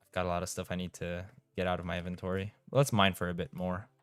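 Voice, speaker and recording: Against music in the background, a man speaks with a Romanian accent. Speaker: gaming streamer. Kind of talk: live-stream chat. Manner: casual, reading chat aloud; stumbles over words.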